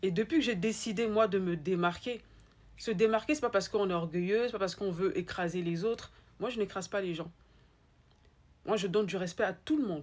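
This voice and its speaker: With an Ivorian accent, the speaker moves at a fairly quick pace in an animated tone, with ordinary pitch variation and long, frequent pauses, on a very clean recording with a silent background. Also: woman, medium pitch for a woman. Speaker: spiritual life coach. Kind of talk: motivational talk. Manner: repetitive, emphatic.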